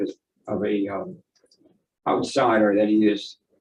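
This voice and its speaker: A man's voice with audible room echo. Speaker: expert witness, economist. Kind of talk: courtroom testimony. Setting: courtroom witness stand. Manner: halting, repeats words.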